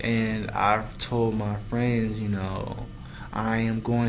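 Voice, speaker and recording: In an American accent, a man talks at a medium pitch with fairly even intonation while audible room echo surrounds his voice. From US Midwest, Cincinnati, Ohio. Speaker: vlogger, theater student. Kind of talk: casual vlog monologue. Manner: slow, deliberate enunciation; halting, many fillers.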